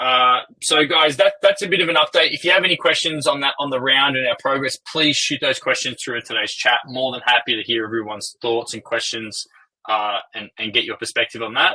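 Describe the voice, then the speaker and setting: With an Australian accent, a man talks at a fairly quick pace, using a fairly high pitch and ordinary pitch variation. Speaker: company co-founder and CEO. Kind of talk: investor webinar presentation. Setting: online webinar.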